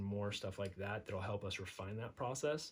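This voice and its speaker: A somewhat breathy man with a General American accent, fairly low pitch and moderate pace. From Nevada, US (North Las Vegas). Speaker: entrepreneur, digital marketer. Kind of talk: casual monologue. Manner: hesitant, many fillers.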